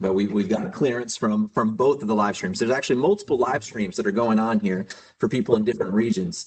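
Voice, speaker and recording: An American-accented man talks at a very fast pace, his medium pitch carried by lively intonation. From United States. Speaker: livestream host of geosteering competition. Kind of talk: live commentary. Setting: live stream.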